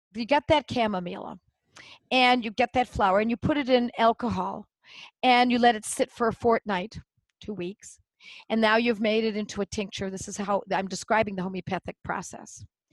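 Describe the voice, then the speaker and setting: A woman talks at a moderate pace in an animated tone, her pitch fairly high. The sound is dry and close with no echo, and the background is quiet. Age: 60s. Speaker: homeopath and educator. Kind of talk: casual chat.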